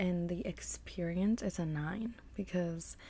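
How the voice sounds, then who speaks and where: A soft-spoken woman talks at a very slow pace in a fairly low, somewhat breathy voice with a dark, mellow tone, fairly even intonation and a dry sound with no echo. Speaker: snack reviewer. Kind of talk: casual vlog chat. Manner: soft close-mic ASMR speaking. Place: home room. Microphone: studio mic.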